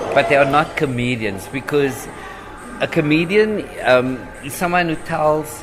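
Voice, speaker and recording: Over background music, a man with a fairly high pitch talks at a fairly slow pace. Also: lively intonation. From Cape Town, South Africa. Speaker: stand-up comedian. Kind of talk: podcast interview answer.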